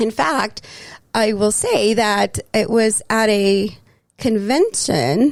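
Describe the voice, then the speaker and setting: Her loudness very even and her pitch fairly high, a woman with an American accent speaks at a very slow pace with ordinary pitch variation. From Texas, El Paso. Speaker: city councilor and mental health worker. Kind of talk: casual interview chat. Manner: halting, many fillers.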